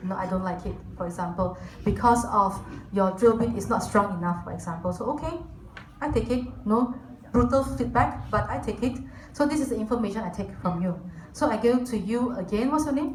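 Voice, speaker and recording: Amid noticeable background noise and audible room echo, a woman talks at a fairly quick pace in a fairly high pitch with lively intonation. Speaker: corporate team lead giving guest talk. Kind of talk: lecture.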